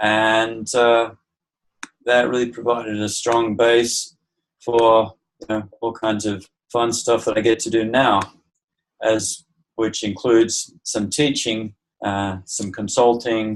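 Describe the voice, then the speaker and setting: Medium-pitched male voice, monotone and flat, at a very slow pace with long, frequent pauses. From Australia, also Southeast Asia and US. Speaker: permaculture teacher. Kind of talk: interview.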